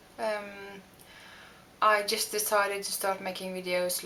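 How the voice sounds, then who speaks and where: Noticeable background noise runs behind a woman whose intonation stays fairly even. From Norway. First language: Norwegian. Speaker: beauty vlogger. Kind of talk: makeup tutorial. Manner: halting, many fillers.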